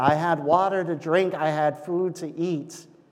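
At a very slow pace, a man with a fairly high pitch speaks amid audible room echo. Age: 30s. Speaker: pastor. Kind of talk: sermon. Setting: church.

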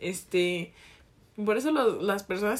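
Speaking at a moderate pace, a woman with a Jalisco accent uses a medium pitch. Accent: Jalisco Mexican Spanish. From Mexico, Jalisco. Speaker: podcast co-host. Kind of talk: casual chat.

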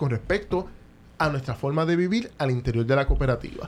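A man talks at a fairly quick pace in a somewhat breathy voice, his pitch swinging very widely. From Puerto Rico (Caguas). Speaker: economist and lawyer. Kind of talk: interview conversation.

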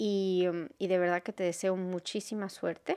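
Delivered at a moderate pace with fairly even intonation, the dark, mellow tone comes through on a very clean recording with a silent background. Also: woman. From Venezuela. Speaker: podcast host. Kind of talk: solo podcast monologue. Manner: halting.

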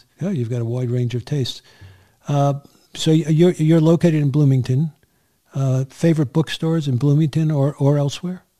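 A man's somewhat breathy, fairly high voice with a dark, mellow tone and an American accent. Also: fairly even intonation, moderate pace. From New York City, Queens. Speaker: podcast host. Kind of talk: interview.

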